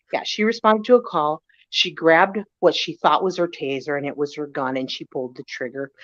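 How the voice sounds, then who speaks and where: At a fairly quick pace, a woman with a very deep, low pitch uses an animated tone and lively intonation. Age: 50s. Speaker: former hairdresser and police officer. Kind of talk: casual chat.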